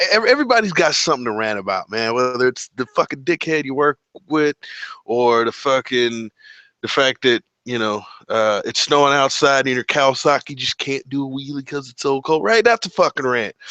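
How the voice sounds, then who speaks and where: A man's animated, bright and sharp voice at a fairly high pitch, fairly quick and lively in intonation, with dry, close sound, no echo and a quiet background. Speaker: live stream host, motorcycle vlogger. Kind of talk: casual live stream chat. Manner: animated, casual.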